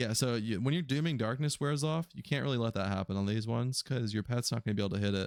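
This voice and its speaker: The recording is very clean, and the background is silent. A man speaks at a very fast pace. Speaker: gaming video creator. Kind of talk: gameplay commentary. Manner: casual, conversational.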